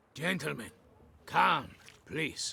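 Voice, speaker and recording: Using a put-on character voice, a man sounds raspy and fairly high-pitched. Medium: video game. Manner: gentle, polite.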